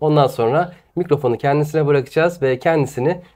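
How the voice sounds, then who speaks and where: In a very clean recording with a silent background, a man with a plain, everyday voice speaks at a fairly quick pace and fairly high pitch, with ordinary pitch variation. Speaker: YouTube interviewer host. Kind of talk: casual interview talk.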